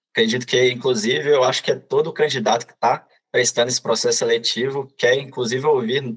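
The somewhat breathy voice moves at a fairly quick pace, with ordinary pitch variation and hardly any pauses. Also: man. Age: 20s. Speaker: corporate trainee. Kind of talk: podcast interview.

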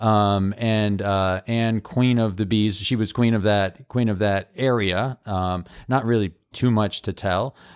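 A man's plain, everyday voice, fairly low in pitch, with fairly even intonation, very even loudness and a fairly slow pace. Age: 40s. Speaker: improviser and podcast co-host. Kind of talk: casual chat.

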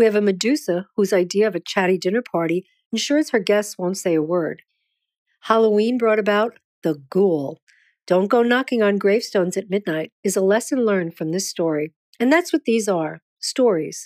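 A woman with an American accent speaks in a normal speaking voice at a medium pitch and moderate pace, with lively intonation, on a very clean recording with a silent background and a dry, close sound with no echo. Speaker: poet. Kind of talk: scripted narration.

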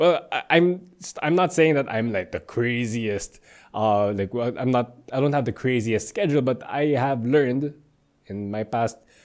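A normal speaking voice from a man at a medium pitch, moderate pace and lively intonation, on a very clean recording with a silent background. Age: 20s. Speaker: fitness coach podcast host. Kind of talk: solo podcast monologue. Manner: casual, frequent fillers.

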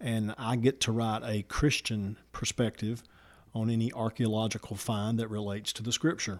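A man with a Southern US accent at medium pitch and a moderate pace, monotone and flat in intonation, dry and close with no echo on a very clean recording with a silent background. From Alabama, Walker County. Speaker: pastor and political candidate. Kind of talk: interview answers. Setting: studio.

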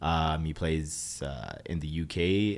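With a Toronto accent, a man speaks at a very deep, low pitch with ordinary pitch variation. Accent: Toronto Canadian English. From Brampton, Ontario, Canada. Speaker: musician. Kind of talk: interview. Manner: casual, hesitant with many fillers.

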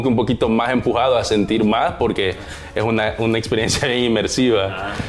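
Over background music, a man talks at a fairly quick pace with fairly even intonation. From El Salvador. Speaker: filmmaker and interviewer. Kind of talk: interview. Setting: at guest's home.

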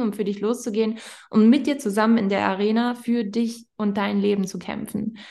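A normal speaking voice, a woman's fairly high pitch at a moderate pace with fairly even intonation. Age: 20s. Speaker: podcast host and health coach. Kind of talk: casual chat.

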